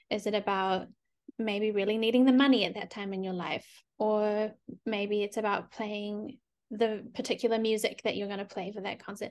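Against a quiet background, a woman speaks at a moderate pace with a New Zealand accent. Her fairly high voice stays monotone and flat. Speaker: collaborative pianist. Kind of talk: casual interview.

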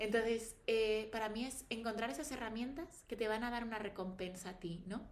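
A woman speaks at a moderate pace with hardly any pauses, her fairly high pitch varying in an ordinary way. Audible room echo and noticeable background noise fill the recording. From Spain, Valladolid. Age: 30s. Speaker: pharmaceutical professional and wellness influencer. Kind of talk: casual interview chat. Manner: articulate.

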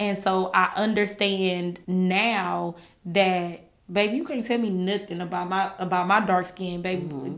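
Speaking in an American accent, a woman has an ordinary speaking voice with medium pitch, fairly even intonation and a fairly slow pace. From California, then Shreveport, Louisiana. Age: 30s. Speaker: podcast co-host. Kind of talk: casual chat.

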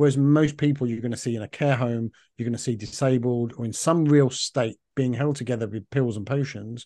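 A man with a London accent, medium-pitched, dark and mellow in tone, at a moderate pace with ordinary pitch variation, in a dry, close recording with no echo and a quiet background. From London, England. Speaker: functional medicine practitioner. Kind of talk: interview. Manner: talkative.

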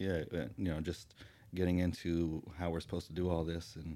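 A man speaks at a very deep, low pitch with a dark, mellow tone and fairly even intonation. His moderate pace comes through on a very clean recording with a silent background. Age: 40s. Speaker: podcast co-host, educator, father. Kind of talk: casual chat.

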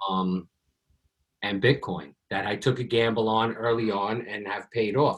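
Speaking at a fairly slow pace with an American accent, a man at medium pitch has an unremarkable speaking voice. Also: fairly even intonation. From New York. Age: 40s. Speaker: podcast host, pest control business owner. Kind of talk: casual interview.

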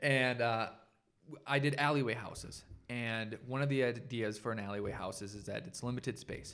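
An unremarkable speaking voice, a man with an American accent talks at a medium pitch and a moderate pace with fairly even intonation. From Minnesota. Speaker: architect and podcast co-host. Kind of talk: casual chat.

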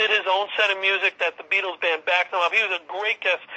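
Over noticeable background noise, a man talks at a high pitch and a fairly quick pace. His intonation stays fairly even. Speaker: Beatles fan and tour organizer. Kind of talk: casual chat.

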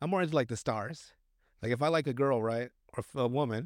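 Fairly quick and fairly high-pitched, a man speaks. The recording is very clean, with a silent background. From Mexican-American, US. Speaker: podcast co-host. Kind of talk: casual chat. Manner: rambling, laughing often.

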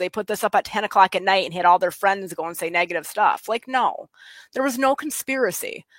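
A woman with a West Michigan accent, medium in pitch with ordinary pitch variation, at a fairly quick pace. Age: 30s. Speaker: state party chair. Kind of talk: casual interview. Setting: video call.

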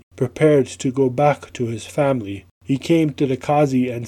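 Here the text is read aloud. It is done in a natural voice.

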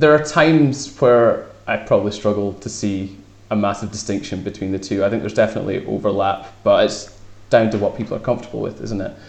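Talking at a very fast pace, a somewhat breathy man with a fairly low pitch shows ordinary pitch variation. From northeast Scotland, Fraserburgh. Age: 20s. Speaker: sports reporter. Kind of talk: casual interview.

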